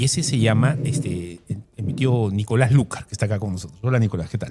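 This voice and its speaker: With music in the background, a man speaks fairly quickly at a medium pitch with ordinary pitch variation. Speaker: interviewer. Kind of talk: interview.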